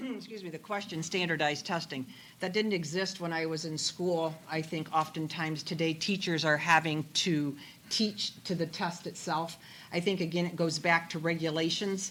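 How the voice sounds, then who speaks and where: Moderately paced, a woman speaks in a Midwestern American accent. Her pitch is fairly low and her intonation fairly even. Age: 60s. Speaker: political candidate. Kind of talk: political forum answers.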